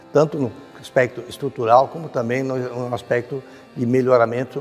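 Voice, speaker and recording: Music plays in the background as a man speaks. His pitch is medium and his intonation is monotone and flat. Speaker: judiciary official. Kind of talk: interview answer.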